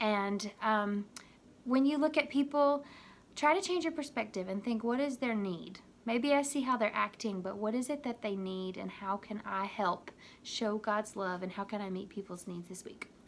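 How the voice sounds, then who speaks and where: In a plain, everyday voice, a woman talks at a moderate pace with lively intonation. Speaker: youth minister. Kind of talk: video devotional talk to youth.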